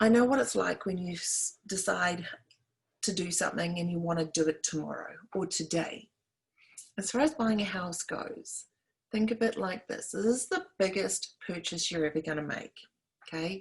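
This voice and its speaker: A woman with a New Zealand accent speaks at a moderate pace and medium pitch, somewhat breathy, with ordinary pitch variation and long, frequent pauses. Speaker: realtor. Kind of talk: tutorial. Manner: animated.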